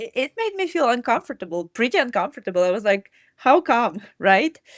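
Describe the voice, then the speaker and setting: A woman with a Ukrainian accent talks at a fairly quick pace and a high pitch, making very wide pitch swings. The sound is dry and close with no echo. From Ukraine. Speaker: mindset and running coach. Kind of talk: interview answer.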